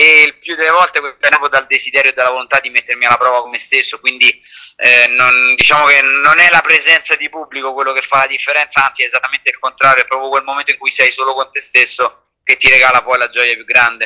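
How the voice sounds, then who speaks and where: Hardly any pauses interrupt this very fast, monotone, flat delivery. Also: man, fairly high pitch for a man. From Italy, Rome. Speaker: ultra-distance cyclist and author. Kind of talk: interview.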